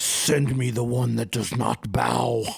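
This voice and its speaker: In a booming, put-on character voice, a man speaks at a fairly slow pace and medium pitch. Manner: commanding.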